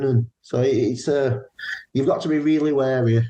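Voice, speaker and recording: A man's dark, mellow, somewhat breathy voice with fairly even intonation and a northern English accent. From northern England, Burnley, Lancashire. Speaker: paranormal investigator. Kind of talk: interview. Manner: casual, repetitive false starts.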